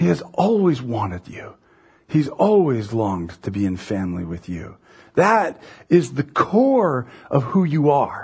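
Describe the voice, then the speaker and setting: This man's somewhat breathy voice sits at medium pitch, moves at a fairly slow pace, and shows very wide pitch swings and big swings in loudness. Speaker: pastor. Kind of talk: sermon. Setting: church. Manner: casual, conversational, storytelling.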